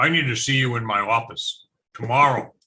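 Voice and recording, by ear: A man's put-on character voice at medium pitch, delivered at a fairly quick pace. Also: fairly even intonation.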